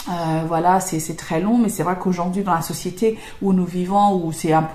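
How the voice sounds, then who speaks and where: With a non-native accent, the speaker keeps a moderate pace and fairly even intonation against noticeable background noise. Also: woman. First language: not French (speaking French). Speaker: YouTuber and English trainer. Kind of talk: casual Q&A monologue. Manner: hesitant, many fillers.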